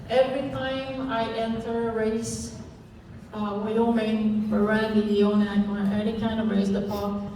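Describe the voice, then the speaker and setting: Someone speaks at a very slow pace in a French-Canadian accent, with audible room echo and noticeable background noise. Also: woman. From Quebec, Canada. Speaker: sled dog racer. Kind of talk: interview.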